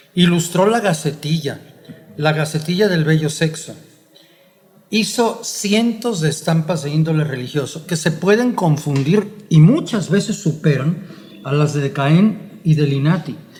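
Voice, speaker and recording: Fairly slow and fairly high-pitched, a man talks with ordinary pitch variation amid audible room echo and noticeable background noise. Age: 70s. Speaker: historian. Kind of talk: conversational lecture. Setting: print shop. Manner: formal.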